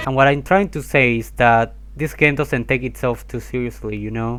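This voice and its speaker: With an Argentine accent, a man talks over noticeable background noise. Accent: Argentinian. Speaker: video essayist. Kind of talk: commentary video voiceover. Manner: casual.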